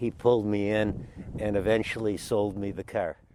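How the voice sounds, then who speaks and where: In a Midwestern American accent, a man with a fairly low, dark and mellow voice talks at a moderate pace. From Michigan, Detroit. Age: 70s. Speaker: car owner, retired businessman. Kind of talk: interview. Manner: halting.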